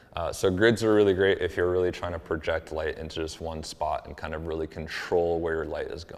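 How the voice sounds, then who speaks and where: A man with an American accent and a very deep, low pitch talks with hardly any pauses and big swings in loudness over noticeable background noise. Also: fairly even intonation. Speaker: photographer. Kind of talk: tutorial. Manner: soft-spoken; casual with fillers.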